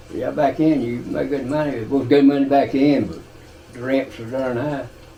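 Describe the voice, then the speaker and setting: Over noticeable background noise, a man with an Appalachian accent speaks at a fairly high pitch with fairly even intonation and big swings in loudness. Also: moderate pace. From Eastern Kentucky, Appalachia. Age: 80s+. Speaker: retired coal miner. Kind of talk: interview answer.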